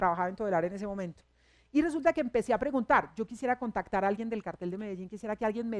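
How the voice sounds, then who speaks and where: A fairly high-pitched woman with ordinary pitch variation, on a very clean recording with a silent background and a dry, close sound with no echo. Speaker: radio news director and journalist. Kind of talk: public talk at a university forum.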